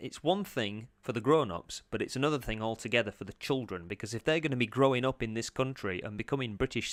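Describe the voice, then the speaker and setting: On a very clean recording with a silent background, a man with a Yorkshire accent talks at a very fast pace with ordinary pitch variation, the sound dry and close with no echo. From Yorkshire, England. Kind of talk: casual reaction commentary to camera.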